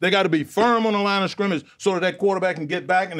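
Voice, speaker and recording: Against a quiet background, a man talks. His pitch is high. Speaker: sports show analyst. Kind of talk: commentary. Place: studio. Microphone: lapel.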